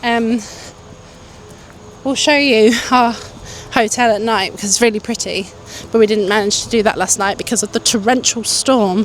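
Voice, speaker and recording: Over noticeable background noise, a woman with a British accent speaks at a moderate pace and fairly high pitch. Her intonation stays fairly even, with long, frequent pauses. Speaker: travel vlogger. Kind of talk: casual vlog chat. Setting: outdoors walking at night.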